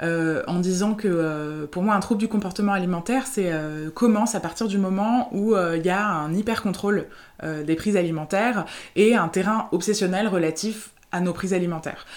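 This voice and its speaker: A woman of medium pitch uses an ordinary speaking voice, moving at a moderate speed. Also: ordinary pitch variation. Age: 30s. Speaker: therapist. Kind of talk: interview.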